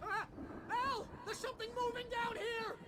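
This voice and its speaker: Someone speaks at a moderate pace in a put-on character voice, with noticeable background noise behind. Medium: video game. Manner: fast, excitable, loud.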